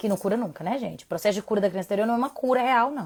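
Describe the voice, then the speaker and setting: A woman's voice at medium pitch. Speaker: parenting educator. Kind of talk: live stream talk. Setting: home live stream. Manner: fast; loud.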